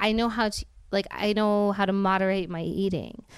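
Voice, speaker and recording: An ordinary speaking voice at a moderate pace, in a very clean recording with a silent background. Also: woman. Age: 30s. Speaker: reality TV personality. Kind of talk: casual chat.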